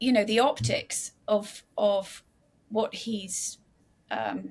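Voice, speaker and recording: A woman speaks with an English accent. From England. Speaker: author and investigative journalist. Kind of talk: interview. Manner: halting, many restarts.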